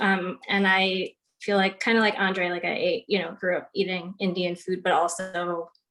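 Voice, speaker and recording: An unremarkable speaking voice from a woman with an American accent, medium pitch, fairly even intonation and a fairly slow pace. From Long Island, New York. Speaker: nutritionist, panelist. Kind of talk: panel discussion. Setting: video call.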